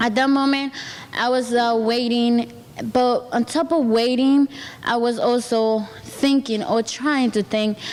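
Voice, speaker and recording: A woman with a Spanish accent speaks at a high pitch and a fairly slow pace, with fairly even intonation. Her loudness stays very even over noticeable background noise. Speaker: program participant, student. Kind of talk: testimony. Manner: halting.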